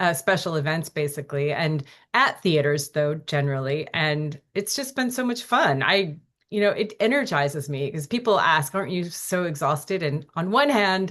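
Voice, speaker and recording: Here is a normal speaking voice at a moderate pace with lively intonation. The background is quiet. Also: woman, fairly low pitch for a woman. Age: 60s. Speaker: author and filmmaker. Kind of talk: interview. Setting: podcast.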